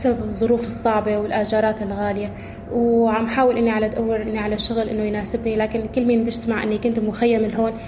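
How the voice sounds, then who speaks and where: Talking at a fairly quick pace with hardly any pauses, a woman uses a fairly high, flat, monotone voice amid noticeable background noise and audible room echo. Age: 20s. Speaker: widow returnee. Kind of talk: testimony.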